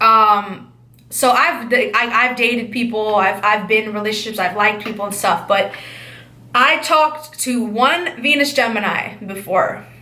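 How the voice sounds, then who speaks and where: The speaker has an animated tone and lively intonation, moving at a fairly slow pace with long, frequent pauses. Audible room echo surrounds the voice. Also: woman. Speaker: astrology channel host. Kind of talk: casual astrology monologue.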